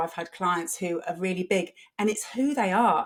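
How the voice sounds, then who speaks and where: A woman speaks in a normal speaking voice at a moderate pace. Her pitch variation is ordinary. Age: 50s. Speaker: personal stylist and career coach. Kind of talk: podcast interview.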